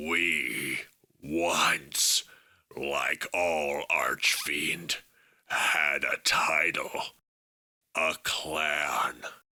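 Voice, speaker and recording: This put-on character voice is raspy and very slow. It has long, frequent pauses. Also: man, very deep, low pitch for a man. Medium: audio drama. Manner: grandiose, speaks of himself as "we" and "this one".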